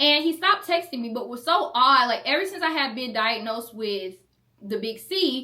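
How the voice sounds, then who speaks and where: Speaking at a moderate pace, a woman with a high pitch makes very wide pitch swings. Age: 20s. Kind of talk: casual storytime talk to camera.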